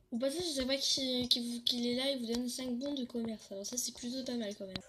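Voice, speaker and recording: Amid noticeable background noise, a woman speaks at a very fast pace in a high pitch with fairly even intonation. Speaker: gaming youtuber. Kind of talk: tutorial. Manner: casual, hesitant.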